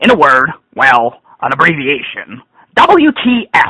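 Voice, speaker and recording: In a raised, projected voice, a man speaks at a high pitch with a bright, sharp tone. His pitch swings very widely. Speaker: gaming blogger reviewing an event. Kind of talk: dramatic reading of a rant. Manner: ranting, sarcastic, annoyed.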